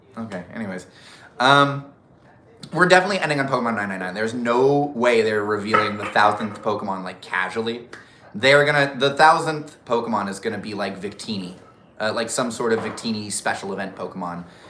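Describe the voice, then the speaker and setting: Big swings in loudness run through a man's voice, captured with audible room echo. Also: medium pitch for a man, ordinary pitch variation, fairly quick pace. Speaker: YouTuber doing live Q&A. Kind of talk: casual live stream chat. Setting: live stream. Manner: animated, off the cuff.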